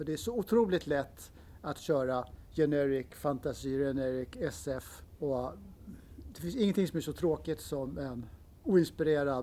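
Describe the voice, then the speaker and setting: A man's fairly high-pitched voice at a fairly slow pace, with ordinary pitch variation. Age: 60s. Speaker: game designer. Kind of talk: interview. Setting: convention.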